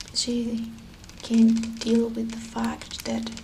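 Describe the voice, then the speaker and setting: Amid clear background noise, a woman whispers in a soft-spoken way. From Venezuela. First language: Spanish. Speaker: ASMR creator. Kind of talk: soft spoken ASMR storytelling of legends. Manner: soft-spoken, whispering.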